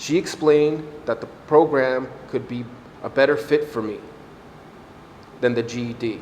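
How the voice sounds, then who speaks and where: Over noticeable background noise, the speaker talks at a moderate pace with fairly even intonation, long, frequent pauses and big swings in loudness. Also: man, medium pitch for a man. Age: 40s. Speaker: adult education graduate. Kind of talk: graduation speech.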